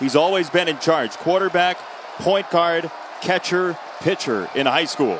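Over noticeable background noise, a man speaks fairly slowly at a high pitch, with ordinary pitch variation and very even loudness. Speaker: play-by-play announcer. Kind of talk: live sports commentary, play-by-play. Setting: stadium broadcast, football game.

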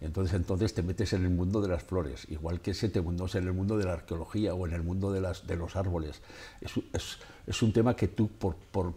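Speaking at a fairly quick pace, a man with a very deep, low pitch has a dark, mellow, somewhat breathy tone and fairly even intonation. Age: 70s. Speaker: photographer and author; guest. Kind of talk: radio interview. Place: studio. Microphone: lapel.

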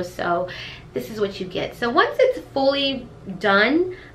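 Faint noise sits in the background. The voice is a woman's. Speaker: beauty vlogger. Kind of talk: casual vlog chat. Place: kitchen. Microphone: camera far.

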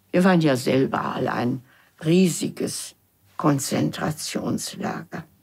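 A woman speaks very slowly in a very deep, low voice that is somewhat breathy. Her pitch varies in an ordinary way, over a quiet background. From Germany. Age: 80s+. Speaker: former secretary, documentary interviewee. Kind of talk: interview answer. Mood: reflective, somber recollection. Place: studio.

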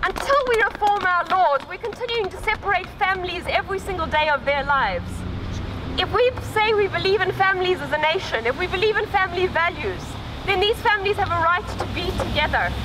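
A woman with an extremely high pitch talks at a fairly quick pace in a raised, projected voice, with ordinary pitch variation. Noticeable background noise is present. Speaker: activist speaker. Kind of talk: rally speech. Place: street.

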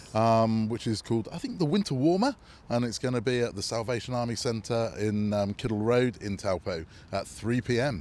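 In a British accent, a man speaks with ordinary pitch variation, in a dry sound with no echo. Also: moderate pace. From UK. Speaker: brass band tuba player; interviewee. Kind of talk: casual interview. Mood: relaxed, friendly. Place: street. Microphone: handheld.

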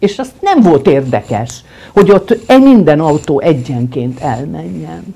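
There is vocal fry in this woman's dark, mellow voice, which makes very wide pitch swings. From Hungary, Budapest; Hungary. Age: 70s. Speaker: film editor; guest. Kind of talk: interview. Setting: at the guest's home. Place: home room.

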